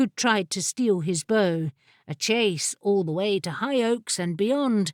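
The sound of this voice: Reading done in an unforced reading voice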